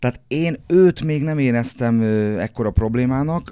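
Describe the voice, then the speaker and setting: A man speaks with a dark, mellow tone and ordinary pitch variation. The recording is very clean, with a silent background and a dry, close sound with no echo. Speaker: football pundit and coach. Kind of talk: casual chat. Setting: studio. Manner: halting, repeats words.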